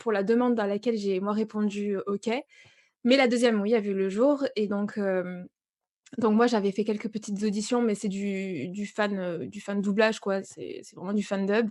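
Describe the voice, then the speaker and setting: A woman's dark, mellow voice at medium pitch, fairly slow and fairly even in intonation, with big swings in loudness. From southwest France. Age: 30s. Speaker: voice-over and manga content creator. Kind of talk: interview.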